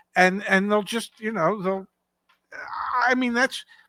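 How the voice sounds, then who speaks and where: Speaking at a fairly slow pace, a woman with a medium pitch and a bright, sharp tone swings her pitch very widely, and the sound is dry and close with no echo. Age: 70s. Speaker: car market commentator. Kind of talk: casual chat.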